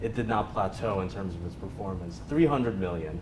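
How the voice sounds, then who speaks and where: A man at a moderate pace with ordinary pitch variation, amid noticeable background noise. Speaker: conference speaker. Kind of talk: lecture. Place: meeting room.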